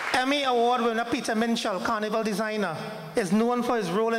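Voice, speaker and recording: Audible room echo over noticeable background noise. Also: man. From Trinidad and Tobago. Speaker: ambassador. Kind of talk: formal speech. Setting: hall with audience.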